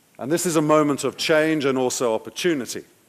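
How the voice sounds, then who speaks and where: A man talks at a fairly quick pace. He has an English accent. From England. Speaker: political analyst and advisor. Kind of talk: conference talk.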